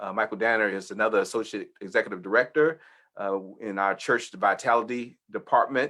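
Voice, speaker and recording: This man's voice has a bright, sharp tone at medium pitch. He speaks at a moderate pace with ordinary pitch variation. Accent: Texas. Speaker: church leader hosting webinar. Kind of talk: informational webinar presentation. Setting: video webinar.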